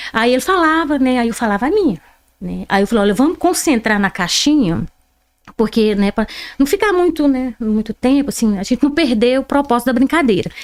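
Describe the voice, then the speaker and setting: Her pitch is high and swings very widely as this woman talks at a fairly quick pace. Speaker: interview guest. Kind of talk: podcast interview. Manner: animated.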